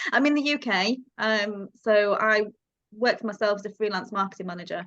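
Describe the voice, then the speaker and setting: Her pitch fairly high and its variation ordinary, a woman with a slight Yorkshire accent speaks at a moderate pace. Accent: slight Yorkshire twang. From Yorkshire, northern England. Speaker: freelance marketing manager. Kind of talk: casual group video call discussion.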